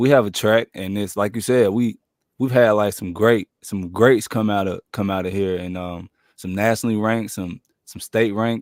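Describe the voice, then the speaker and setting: A man with an American accent speaks in a plain, everyday voice at a fairly low pitch with fairly even intonation. The recording is very clean with a silent background, and the sound is dry and close with no echo. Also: moderate pace. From North Carolina. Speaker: podcast host. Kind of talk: casual interview.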